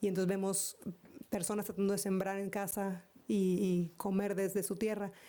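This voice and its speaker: A woman speaks with a Mexican accent at a medium pitch. Her tone is dark and mellow. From northeastern Mexico. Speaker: conference keynote speaker. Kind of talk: Q&A answer at conference. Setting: conference hall with audience. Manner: halting, many repetitions.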